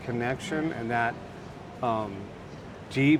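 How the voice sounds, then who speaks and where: Noticeable background noise is audible. A man speaks with an American accent. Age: 60s. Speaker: interviewee. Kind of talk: casual interview.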